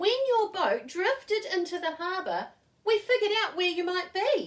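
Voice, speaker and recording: A woman's put-on character voice, squeaky and extremely high in pitch, with lively intonation at a moderate pace. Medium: read story.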